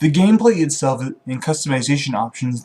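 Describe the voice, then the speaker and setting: A man talks at a fairly quick pace with a fairly high pitch and lively intonation. His voice is somewhat breathy. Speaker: gaming video creator. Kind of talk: scripted video game top-ten list read to camera. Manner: occasionally stutters.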